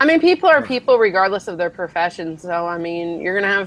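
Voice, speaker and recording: The speaker talks at a fairly quick pace with a slight Southern US accent. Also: woman. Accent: slight Southern, by own account. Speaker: law student. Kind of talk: casual chat.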